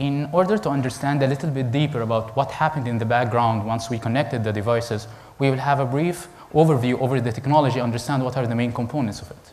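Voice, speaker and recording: The man's pitch shifts in an ordinary way. His delivery is very fast. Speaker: conference presenter. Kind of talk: lecture. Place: hall.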